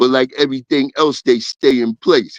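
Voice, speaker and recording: In a Brooklyn accent, a man speaks at a medium pitch. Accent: New York (Brooklyn). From Brooklyn, New York. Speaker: former gang member. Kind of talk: casual interview storytelling.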